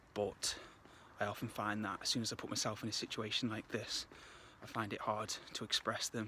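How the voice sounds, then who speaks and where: A man talks at a moderate pace. His pitch sits in the medium range. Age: 20s. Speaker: vlogger and aspiring filmmaker. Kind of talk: casual vlog monologue. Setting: outdoors on a walk. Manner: halting, many fillers.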